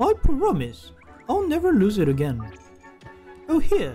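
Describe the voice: Putting on a character voice, a man speaks at an extremely high pitch with very wide pitch swings and a fairly slow pace. His tone is dark and mellow with a slightly husky edge, and faint music plays in the background.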